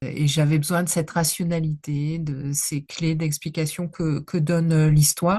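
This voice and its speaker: A woman speaks at a fairly slow pace with hardly any pauses, in a very deep, low pitch. Her voice is somewhat breathy with a dark, mellow tone and monotone, flat intonation. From northern France (Nord). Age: 60s. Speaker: history professor. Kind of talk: interview. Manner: halting, many hesitations.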